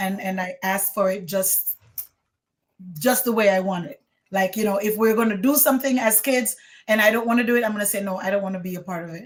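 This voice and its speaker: A woman with a Jamaican accent, medium-pitched, at a very fast pace with ordinary pitch variation. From Jamaica, Saint Ann. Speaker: former teacher. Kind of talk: testimony interview.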